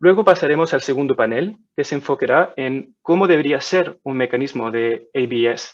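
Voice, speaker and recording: A man speaks at a moderate pace with a non-native accent. His fairly high voice shows ordinary pitch variation. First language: not Spanish (speaking Spanish). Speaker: webinar moderator. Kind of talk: moderated webinar introduction. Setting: online webinar. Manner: halting.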